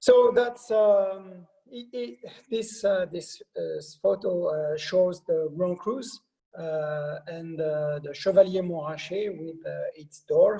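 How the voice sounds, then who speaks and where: A man with a French accent talks at a high pitch with ordinary pitch variation. His pace is very slow. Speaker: wine company sales director. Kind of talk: presentation. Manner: halting, many fillers.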